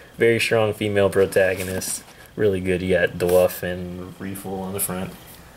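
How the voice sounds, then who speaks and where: A man is speaking. Background noise is noticeable. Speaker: YouTuber reviewing manga hauls. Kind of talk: casual vlog haul video. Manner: casual, filler-heavy.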